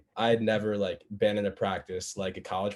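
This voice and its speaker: A man with an unremarkable speaking voice talks fairly quickly at a fairly low pitch. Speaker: college football player. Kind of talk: panel discussion. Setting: video call.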